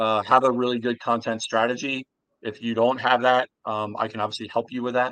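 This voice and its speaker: In a dry, close sound with no echo, a man with an American accent and an unremarkable speaking voice talks at a moderate pace and medium pitch. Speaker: sales outsourcing company founder. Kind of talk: interview.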